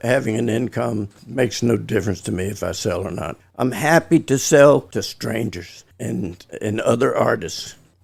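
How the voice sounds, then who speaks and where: This man's voice sits at a medium pitch and carries vocal fry. He talks at a moderate pace with lively intonation. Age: 80s+. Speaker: watercolor artist. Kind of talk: casual interview. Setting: studio. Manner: halting, repeats words.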